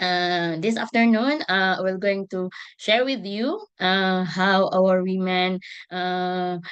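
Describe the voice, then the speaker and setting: In a Visayan Filipino accent, a woman speaks at a very slow pace. Her pitch is medium and her intonation fairly even. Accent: Filipino (Cebuano) English. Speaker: ecotourism association member. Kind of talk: webinar presentation. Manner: hesitant, many fillers.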